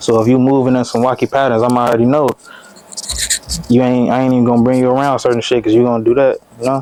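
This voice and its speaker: Against noticeable background noise, a man talks very fast at medium pitch in a monotone, flat intonation, with long, frequent pauses and very even loudness. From Chicago West Side. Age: 20s. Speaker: rapper. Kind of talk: casual interview.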